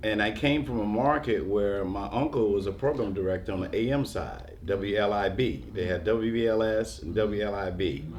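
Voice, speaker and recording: A man's fairly low voice with an American accent, hardly any pauses, ordinary pitch variation and audible room echo. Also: moderate pace. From New York. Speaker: radio DJ. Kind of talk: panel discussion. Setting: museum panel.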